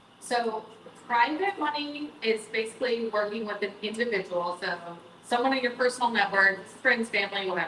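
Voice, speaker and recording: Amid noticeable background noise, a woman with an American accent and fairly high pitch speaks at a moderate pace with ordinary pitch variation. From Texas, Austin. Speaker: real estate investor. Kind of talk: panel discussion.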